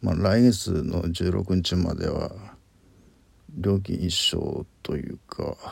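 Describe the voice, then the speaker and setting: A man's very deep, low voice at a very slow pace. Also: ordinary pitch variation. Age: 50s. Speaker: podcaster. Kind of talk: solo monologue. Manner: halting.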